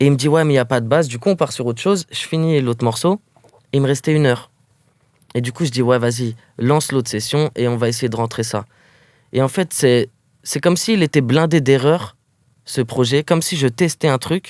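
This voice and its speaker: Speaking fairly quickly but with long, frequent pauses, a man at medium pitch shows ordinary pitch variation in dry, close sound with no echo. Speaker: rapper. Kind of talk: interview. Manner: casual, halting with fillers.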